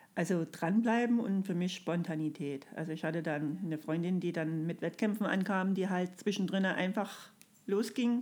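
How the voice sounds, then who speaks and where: A woman with a plain, everyday voice, medium pitch, ordinary pitch variation and a moderate pace. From Saxony, Erzgebirge (Freiberg area). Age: 40s. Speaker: kindergarten teacher, amateur runner. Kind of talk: casual interview. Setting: hotel room.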